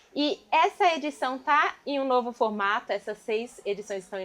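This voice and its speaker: Against noticeable background noise, a woman speaks in a high pitch with very wide pitch swings. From São Paulo East Zone periphery. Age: 30s. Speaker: dance group member and show host. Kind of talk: casual talk show chat.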